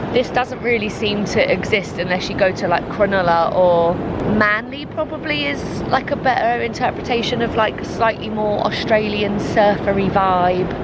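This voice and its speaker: A woman with a British accent speaks at medium pitch and a moderate pace, with ordinary pitch variation. Noticeable background noise and audible room echo are present. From UK. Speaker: travel vlogger. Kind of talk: casual vlog talk to camera. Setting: outdoors on a beach.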